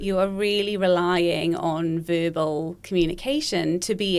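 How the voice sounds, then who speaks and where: A woman with a slight Welsh accent speaks fairly slowly at a fairly low pitch with fairly even intonation. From Wales. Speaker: speech pathologist. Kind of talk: podcast interview.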